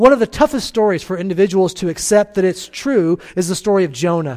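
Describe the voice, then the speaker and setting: A man's high-pitched voice at a fairly quick pace, with lively intonation. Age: 40s. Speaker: pastor. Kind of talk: sermon. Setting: church.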